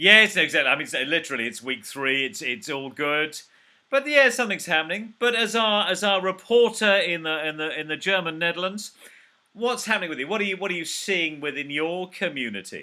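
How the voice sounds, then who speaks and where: With a British accent, a man talks at a fairly quick pace in a high pitch. His intonation is lively and his tone bright and sharp. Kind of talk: casual video call conversation, host.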